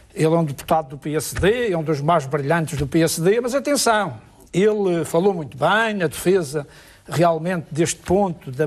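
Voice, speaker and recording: A man with very wide pitch swings. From Madeira, Portugal. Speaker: regional politician. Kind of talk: televised political debate. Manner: animated, interrupting.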